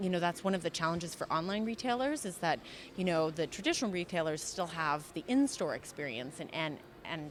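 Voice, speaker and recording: With an American accent, a woman talks at a fairly quick pace in an ordinary speaking voice, fairly low in pitch and with lively intonation. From USA. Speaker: customer experience consultant. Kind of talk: interview answer.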